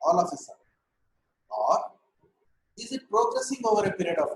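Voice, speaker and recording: This man's voice sits high in pitch. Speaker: ENT doctor teaching medical students. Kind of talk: lecture. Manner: slow, deliberate.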